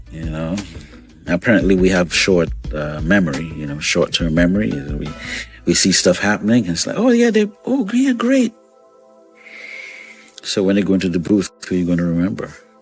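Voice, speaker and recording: A man talks at a fairly quick pace with long, frequent pauses while music plays in the background. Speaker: radio host. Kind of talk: morning radio show host talking to audience. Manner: energetic, conversational.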